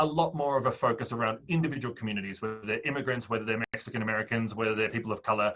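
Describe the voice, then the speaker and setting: A man talks with an Australian accent. His pitch varies in an ordinary way. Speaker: fintech startup founder. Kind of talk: interview.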